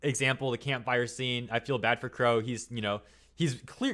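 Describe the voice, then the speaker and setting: This man's voice sits at a medium pitch and moves at a fairly quick pace. The recording is very clean, with a silent background. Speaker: YouTube commentator. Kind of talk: video essay commentary. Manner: fast; casual, filler-heavy.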